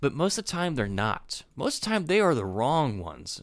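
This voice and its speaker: Very wide pitch swings mark this man's speech on a very clean recording with a silent background. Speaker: podcast host. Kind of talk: casual political commentary. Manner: halting, searching for words.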